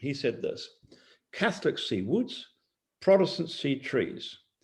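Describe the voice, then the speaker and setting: Over a very clean recording with a silent background, a man talks at a moderate pace with very wide pitch swings. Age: 70s. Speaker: missionary leader. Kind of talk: interview.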